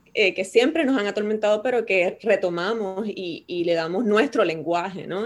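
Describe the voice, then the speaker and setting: A woman speaks at a moderate pace with hardly any pauses, in a medium pitch and with ordinary pitch variation. It is an unremarkable speaking voice on a very clean recording with a silent background. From Puerto Rico. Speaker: poet and university professor. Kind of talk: casual interview.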